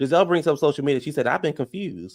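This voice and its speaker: A man with a fairly high pitch and vocal fry speaks in an animated tone with lively intonation. The recording is very clean, with a silent background. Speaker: YouTube reality TV commentator. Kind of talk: live stream recap and commentary. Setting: live stream. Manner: fast; casual, animated.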